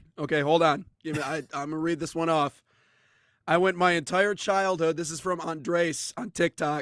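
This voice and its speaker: In a very clean recording with a silent background and a dry, close sound with no echo, a man with a high pitch speaks at a moderate pace with fairly even intonation. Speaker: sports talk show host. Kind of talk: casual chat.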